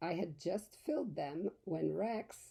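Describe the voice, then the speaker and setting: A put-on character voice moves at a fairly slow pace with lively intonation. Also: woman. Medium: read story.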